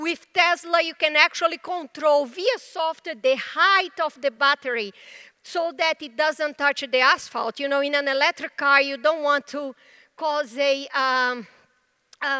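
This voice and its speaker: With a Brazilian Portuguese accent, a woman projects her raised voice at a high pitch, her tone bright and sharp, with ordinary pitch variation at a fairly slow pace and a dry, close sound with no echo. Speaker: tech executive. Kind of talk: conference presentation.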